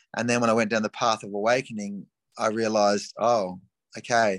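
Recorded dry and close with no echo, a man with an Australian accent speaks at a fairly quick pace. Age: 50s. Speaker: life coach. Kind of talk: casual chat. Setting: video call.

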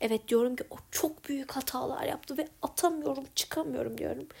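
A woman is speaking. Her pitch swings very widely. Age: 20s. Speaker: podcaster. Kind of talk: personal audio diary. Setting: home bedroom. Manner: reflective. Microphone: recording on iPad held close.

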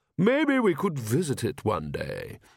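On a very clean recording with a silent background, a man performs a put-on character voice at medium pitch, with vocal fry, very wide pitch swings and a fairly slow pace.

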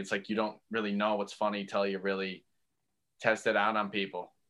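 A man with a Newfoundland accent speaks at a moderate pace in a fairly low pitch, his bright, sharp tone delivered in a monotone with flat intonation. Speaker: comedian. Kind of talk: casual chat.

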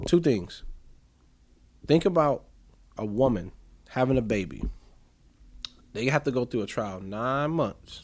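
The speech has lively intonation with long, frequent pauses. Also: man, medium pitch for a man. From US Midwest. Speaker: podcaster. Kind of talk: casual chat. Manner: articulate; talkative.

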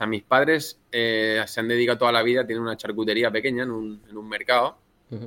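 A man at medium pitch, very fast pace, bright, sharp tone and monotone, flat intonation. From Spain, Elda (Alicante). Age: 30s. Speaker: restaurant chain founder, former investment banker. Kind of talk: podcast interview.

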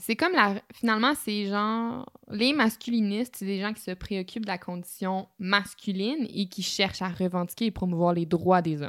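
A woman with a Quebec accent speaks at a medium pitch and a moderate pace, with ordinary pitch variation and hardly any pauses. The recording is very clean with a silent background. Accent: Québécois French. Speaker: podcast co-host. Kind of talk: casual chat.

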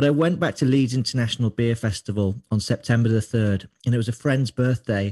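A man speaks in a dark, mellow, somewhat breathy tone with very even loudness and hardly any pauses, in a dry, close sound with no echo. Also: medium pitch for a man, ordinary pitch variation, fairly quick pace. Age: 30s. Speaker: beer writer. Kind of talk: interview. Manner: halting.

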